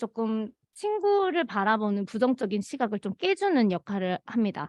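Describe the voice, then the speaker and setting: At a moderate pace, a woman speaks with a fairly high pitch in a normal speaking voice. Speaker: conflict mediation program facilitator. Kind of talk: work meeting presentation. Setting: meeting.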